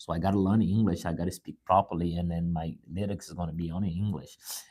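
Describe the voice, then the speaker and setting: Speaking at a very fast pace, a man has a dark, mellow tone and ordinary pitch variation. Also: very clean recording, silent background. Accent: Brazilian. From Brazil. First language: Portuguese. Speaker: musician and motivational speaker. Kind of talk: motivational live talk. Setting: live stream. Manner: halting, with repetitions.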